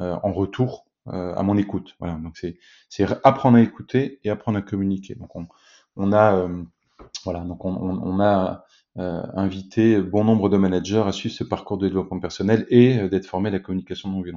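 A man with a fairly low pitch speaks at a moderate pace, his intonation fairly even. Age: 40s. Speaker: business executive and company co-founder. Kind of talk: interview. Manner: halting, many repetitions and fillers.

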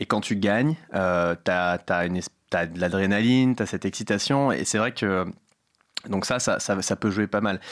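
A man talks at a fairly slow pace in a fairly low pitch, with ordinary pitch variation. It is an ordinary speaking voice. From Paris, 13th arrondissement. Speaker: startup founder. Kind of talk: casual interview. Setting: studio.

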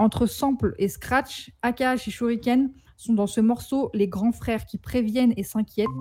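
A woman's fairly high voice, fairly even in intonation, is heard over background music. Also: fairly slow pace. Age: 20s. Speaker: photographer and rap commentator. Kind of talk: scripted narration. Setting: remote connection.

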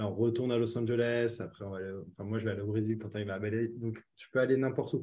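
Talking at a very fast pace, a man with a dark, mellow tone keeps a medium pitch in a monotone, flat intonation, with big swings in loudness. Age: 20s. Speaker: online business founder. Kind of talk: casual interview.

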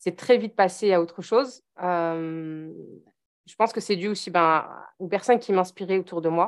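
Fairly slow speech from a woman with a medium pitch and ordinary pitch variation, against a quiet background. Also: big swings in loudness. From eastern France, Vosges (Épinal). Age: 30s. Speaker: mother and online parenting coach. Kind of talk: casual interview chat. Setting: podcast recording.

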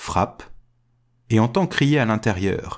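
Very wide pitch swings mark this man's fairly slow delivery. The recording is very clean, with a silent background. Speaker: podcast storyteller. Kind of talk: fairy-tale narration, told aloud. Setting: recorded podcast episode.

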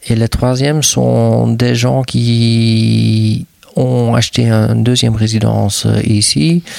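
In a Flemish accent, a man speaks at a very slow pace with very even loudness. Noticeable background noise runs underneath. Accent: Flemish Dutch accent in French. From Flanders, Belgium (near Dutch border). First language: Dutch (speaking French). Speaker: hotel and restaurant owner. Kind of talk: interview conversation. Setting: on location at his hotel. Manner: hesitant with fillers.

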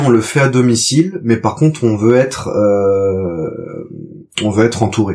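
A man with a medium pitch and a dark, mellow tone talks at a very slow pace with lively intonation on a very clean recording with a silent background. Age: 30s. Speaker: father, trainee market gardener. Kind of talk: testimony.

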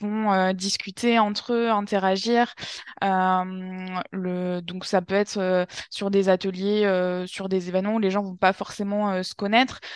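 The delivery is very slow, in a monotone, flat intonation. The background is quiet. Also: woman. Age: 20s. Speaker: yoga teacher and climate workshop facilitator. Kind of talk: interview. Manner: halting, many fillers and repetitions.

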